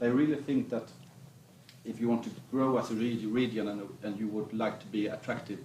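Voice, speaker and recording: A man with a southern Swedish accent, medium-pitched, at a fairly quick pace with fairly even intonation, amid noticeable background noise and audible room echo. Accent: Blekinge Swedish accent in English. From Sweden, Blekinge. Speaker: business association chief. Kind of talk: stage interview. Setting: stage with audience.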